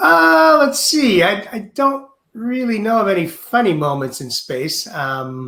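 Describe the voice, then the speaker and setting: The speaker uses a raised, projected voice with an American accent and very wide pitch swings. The pace is fairly slow. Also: man, high pitch for a man. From United States. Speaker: astronaut. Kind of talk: Q&A in a webinar.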